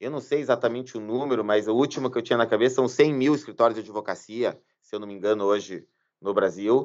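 A man's medium-pitched voice at a very fast pace, fairly even in intonation, over a quiet background. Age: 40s. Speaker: lawyer. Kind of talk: interview conversation.

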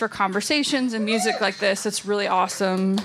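A woman with an American accent at a fairly quick pace, over noticeable background noise. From Texas. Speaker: podcast host and magazine director. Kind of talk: event introduction. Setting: stage with audience.

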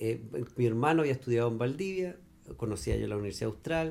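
A man with a Chilean accent speaks in a fairly low pitch. His voice is somewhat breathy. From Chile, Magallanes. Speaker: architect and cider maker. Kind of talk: casual interview chat. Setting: at his rural home.

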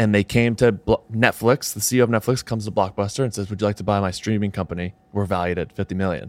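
In a very clean recording with a silent background, a man speaks at a very fast pace. The sound is dry and close with no echo, and his fairly low voice has fairly even intonation. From southern New Hampshire. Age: 20s. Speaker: podcast host and content creator. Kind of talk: casual chat.

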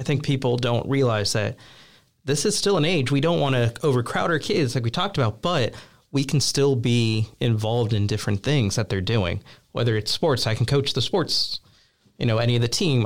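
A man's plain, everyday voice, medium in pitch, fairly quick with lively intonation and very even loudness, over a very clean recording with a silent background. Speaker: youth ministry associate director. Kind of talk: casual interview chat.

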